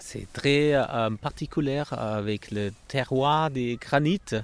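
A man is speaking. He talks with a German accent. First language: German (speaking French). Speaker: winery director. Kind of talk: casual chat. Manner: halting.

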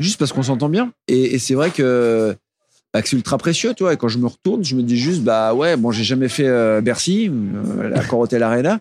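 A man talks at a medium pitch and a moderate pace, with lively intonation and very even loudness. The sound is dry and close, with no echo. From Burgundy, Nièvre (France). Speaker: singer-songwriter and novelist. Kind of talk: interview. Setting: studio. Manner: halting.

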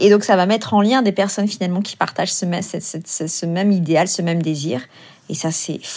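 Medium in pitch with ordinary variation, a woman's voice comes through. She keeps a moderate pace. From France. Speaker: activist. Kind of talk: testimony. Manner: halting.

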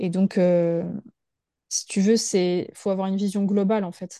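A woman's medium-pitched, dark, mellow voice in a flat monotone at a moderate pace, against a quiet background. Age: 30s. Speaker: massage therapist. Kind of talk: casual interview.

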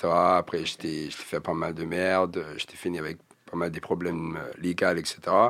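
In a very deep, low voice with a slight English accent, a man talks at a fairly slow pace with monotone, flat intonation and big swings in loudness. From England. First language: English (speaking French). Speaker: rapper. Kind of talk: casual interview chat.

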